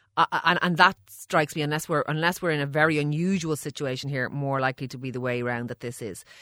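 A woman's bright, sharp voice at a very deep, low pitch, very fast in pace, with big swings in loudness, in a dry, close sound with no echo on a very clean recording with a silent background. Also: ordinary pitch variation. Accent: Irish. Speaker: doctor. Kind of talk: casual banter about health questions, with a radio co-host. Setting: radio studio.

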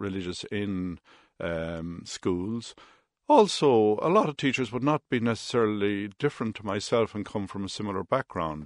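A man with an Irish Midlands accent talks at a moderate pace in a fairly low voice, the sound dry and close with no echo and the background quiet. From Ireland, Roscommon town. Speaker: industrial relations mediator. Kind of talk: radio interview.

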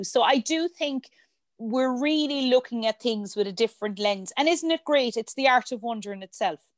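Recorded with a dry, close sound and no echo, a woman with an Irish accent speaks high in pitch with lively intonation. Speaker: hotel director and industry body president. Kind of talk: casual interview.

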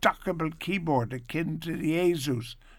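This man speaks at a moderate pace with an Irish accent. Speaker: radio host. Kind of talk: radio chat. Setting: studio. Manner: animated.

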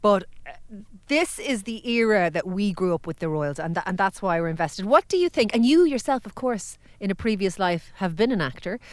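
A woman with an Irish accent speaks at a medium pitch. Her pace is fairly quick and her intonation lively. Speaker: podcast host. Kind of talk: casual chat. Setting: studio.

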